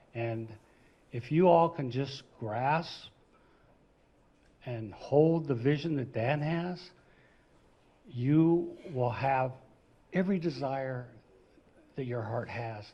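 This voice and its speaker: Very slowly and with long, frequent pauses, a man speaks at a medium pitch in a dark, mellow, somewhat breathy tone, his pitch varying normally while room echo can be heard. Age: 60s. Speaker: friend of the founder. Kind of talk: toast speech.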